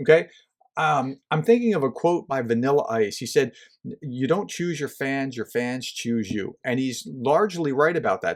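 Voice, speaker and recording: The man's voice is fairly high-pitched and moves through very wide pitch swings. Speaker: management professor and podcast host. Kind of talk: podcast monologue. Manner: fast; casual, conversational.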